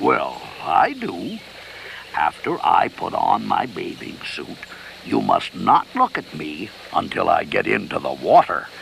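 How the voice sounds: A man speaks in a cartoonish character voice. Clear background noise sits behind him. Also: fairly slow pace.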